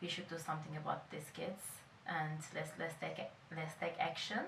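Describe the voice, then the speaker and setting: A woman's fairly low voice in a Turkish accent, with audible room echo. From Turkey (Izmir). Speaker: charity volunteer. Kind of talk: interview testimony.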